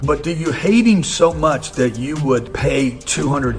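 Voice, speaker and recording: Over music in the background, a man with an American accent speaks with very wide pitch swings. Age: 60s. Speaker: real estate investor and finance commentator. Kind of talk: casual commentary monologue.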